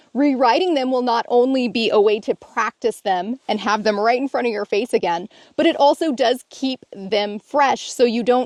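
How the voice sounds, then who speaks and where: In an ordinary speaking voice, a woman speaks with a fairly high pitch and lively intonation at a moderate pace, with hardly any pauses, the sound dry and close with no echo. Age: 40s. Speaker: self-help video co-host. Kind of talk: casual instructional conversation.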